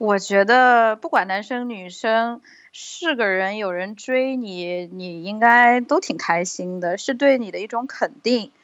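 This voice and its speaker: A woman with a fairly high pitch talks at a very slow pace, with hardly any pauses and lively intonation. Her loudness swings widely, and the recording is very clean with a silent background. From China. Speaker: guest. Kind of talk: casual chat.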